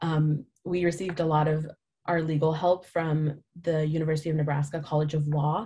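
At a moderate pace, a woman speaks with a very deep, low pitch and a dark, mellow tone that is somewhat breathy. Her loudness is very even and her intonation monotone and flat. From India. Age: 20s. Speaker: nonprofit founder. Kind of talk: talk to a business audience with Q&A. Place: home room. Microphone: webcam.

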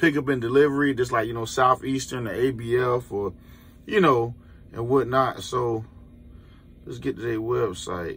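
In an American accent, a man talks at a fairly slow pace with a medium pitch. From Florida. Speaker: truck driver and YouTuber; YouTuber. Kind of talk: casual vlog. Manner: animated. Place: car. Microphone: phone near.

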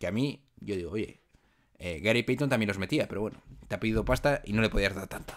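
A man talking at a very fast pace with ordinary pitch variation, against a quiet background. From Spain. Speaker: podcast host. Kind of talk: casual chat. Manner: animated. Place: home room. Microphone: studio mic.

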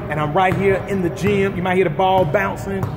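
Noticeable background noise sits under the audio. A man's voice rises and falls with ordinary pitch variation. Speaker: interviewer host. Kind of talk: casual interview intro. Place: hall. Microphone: phone near.

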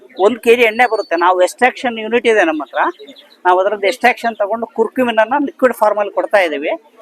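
The sound is dry and close with no echo, with noticeable background noise and ordinary pitch variation. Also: man, high pitch for a man. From Puttur, Dakshina Kannada, India. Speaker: farmer and product seller. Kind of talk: sales pitch.

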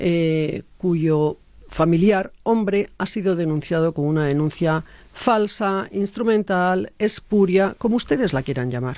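A woman's medium-pitched voice, fairly slow, with lively intonation, over a quiet background and a dry sound with no echo. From Basque Country. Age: 50s. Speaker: association president; speaker. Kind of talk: interview. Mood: earnest, critical. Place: meeting room. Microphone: podium.

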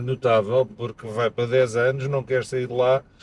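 Over light background noise, a man speaks at a moderate pace with fairly even intonation in a dry sound with no echo. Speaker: podcast host. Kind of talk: interview conversation. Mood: relaxed, friendly. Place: car. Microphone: camera far.

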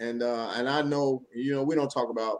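A man speaks at a fairly quick pace with ordinary pitch variation. His tone is animated. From Chicago. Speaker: podcast co-host; show host. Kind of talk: casual chat. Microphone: studio mic.

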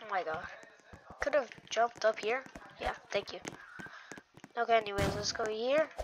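A woman talks at a moderate pace with long, frequent pauses. Her voice is fairly high with ordinary pitch variation, over noticeable background noise. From Spanish-speaking background. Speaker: gaming youtuber. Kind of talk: gameplay commentary.

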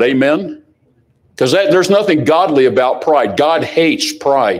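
A man talks with very wide swings in pitch. The background is quiet. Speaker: preacher. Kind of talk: sermon. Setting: church. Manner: animated; fiery. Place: church.

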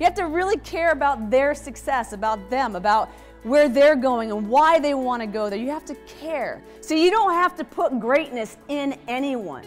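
Faint music plays behind a woman who speaks at a moderate pace with a high pitch, an energetic tone, and lively intonation. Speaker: keynote speaker. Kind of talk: motivational keynote speech. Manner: energetic, engaging. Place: hall. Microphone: lapel.

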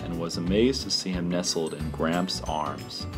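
Music can be heard behind the speaker. He is a man with a very deep, low pitch. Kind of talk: read narration of a short anecdote.

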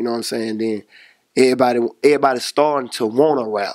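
With a quiet background, a man's intonation stays fairly even. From Monroe, Louisiana; Louisiana. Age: 20s. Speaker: rapper. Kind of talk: casual interview. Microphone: handheld.

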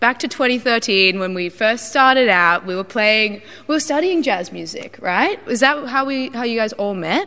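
Her Australian accent carries lively intonation as this woman, fairly high in pitch, talks at a moderate pace. She leaves hardly any pauses. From Australia, Brisbane. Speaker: music interviewer; interviewer. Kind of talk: casual interview; interview question. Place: hall. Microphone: handheld.

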